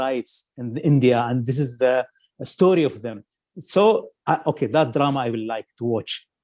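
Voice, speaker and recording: A man with an Arabic accent talks at a moderate pace in a dark, mellow tone at medium pitch. His pitch varies in an ordinary way, and he leaves long, frequent pauses. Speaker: film critic. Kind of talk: radio interview. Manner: halting, many fillers.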